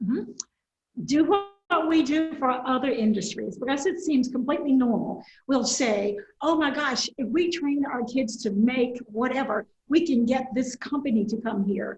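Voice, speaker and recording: A woman speaks in a high pitch with ordinary pitch variation. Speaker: state senator. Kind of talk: interview. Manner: fast.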